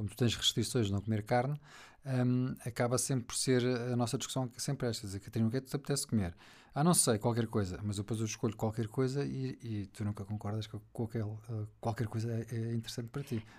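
A man with a European Portuguese accent speaks at a very fast pace, his voice somewhat breathy and medium in pitch with ordinary pitch variation. The recording is very clean, with a silent background. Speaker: host's husband. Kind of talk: casual chat. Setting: home office studio.

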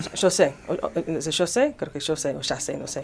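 Her pitch fairly low, a woman speaks with an English accent. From United States. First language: English (speaking Spanish). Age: 50s. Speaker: singer. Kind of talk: radio interview. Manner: halting.

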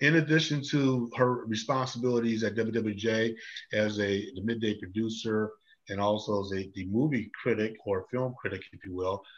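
A man speaks in a normal speaking voice at a medium pitch, with ordinary pitch variation and a moderate pace. His loudness swings widely, and the background is quiet. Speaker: talk show host. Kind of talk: interview, casual chat. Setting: Facebook Live video. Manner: friendly, conversational.

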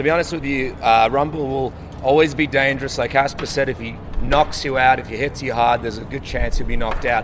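Over noticeable background noise, a man speaks very fast at a medium pitch, his intonation fairly even. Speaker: MMA journalist, podcaster. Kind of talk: post-fight discussion.

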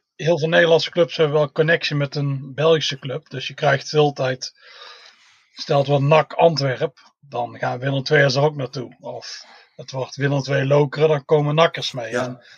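A man speaks at a moderate pace in a fairly high pitch, with monotone, flat intonation. The sound is dry and close with no echo, and his loudness swings widely. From Tilburg, southern Netherlands. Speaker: football fan, groundhopper. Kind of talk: casual chat.

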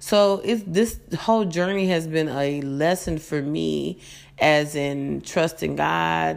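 A woman with a very deep, low pitch talks in an American accent. The recording is very clean, with a silent background. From Las Vegas, Nevada, US. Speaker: radio host and author. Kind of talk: talk radio monologue.

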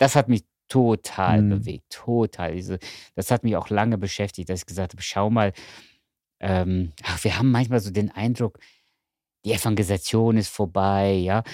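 On a very clean recording with a silent background and a dry, close sound with no echo, a man with a fairly low pitch and a dark, mellow tone speaks with fairly even intonation and long, frequent pauses. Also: moderate pace. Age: 50s. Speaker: rector of a Bible seminary. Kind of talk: casual chat.

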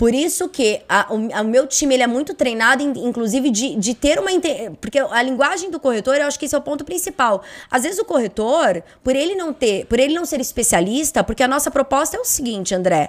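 The recording is very clean, and the background is silent. The speaker's intonation is lively. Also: woman, high pitch for a woman. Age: 30s. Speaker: insurance brokerage CEO. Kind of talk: interview conversation.

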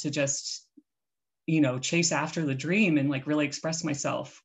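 Speaking at a moderate pace, a woman uses a very deep, low pitch and fairly even intonation. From Maryland, US. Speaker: illustrator, author and tarot reader. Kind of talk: casual interview chat.

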